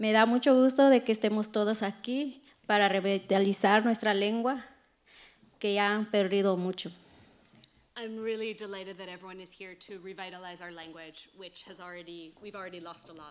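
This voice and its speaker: With big swings in loudness, a woman speaks at a moderate pace and medium pitch with ordinary pitch variation. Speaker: poet. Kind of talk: poetry reading, spoken word, with a brief spoken intro. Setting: stage with audience. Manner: earnest, measured, declamatory; rhetorical repeated questions, rhythmic delivery. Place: stage. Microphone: studio mic.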